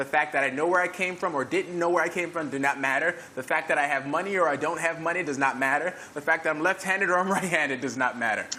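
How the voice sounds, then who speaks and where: A man's fairly high voice in an American accent, very fast with hardly any pauses and ordinary pitch variation, over noticeable background noise. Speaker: fitness trainer and event host. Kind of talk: panel discussion. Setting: live stream.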